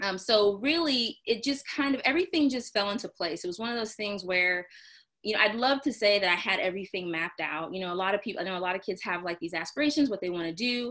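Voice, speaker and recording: Speaking very fast, a woman uses a bright, sharp tone at medium pitch. She has an American accent. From Texas, Houston (Clear Lake). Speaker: physician. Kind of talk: interview.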